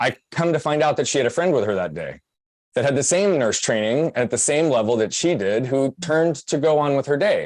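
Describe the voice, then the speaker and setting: At a fairly quick pace, a man with an American accent speaks at a fairly high pitch with lively intonation. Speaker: podcast guest, personal growth speaker. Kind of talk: interview testimony. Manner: fast.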